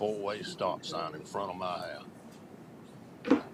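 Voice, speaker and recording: A man with a North Carolina accent talks at a very slow pace. Noticeable background noise runs underneath. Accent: US Southern (North Carolina). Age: 70s. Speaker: resident speaking at public hearing. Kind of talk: public comment. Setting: county board meeting.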